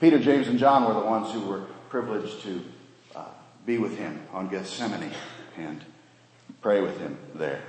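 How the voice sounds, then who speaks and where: A man with a fairly low pitch speaks with lively intonation, big swings in loudness and long, frequent pauses, amid noticeable background noise and audible room echo. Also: moderate pace. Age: 50s. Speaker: pastor. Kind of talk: sermon.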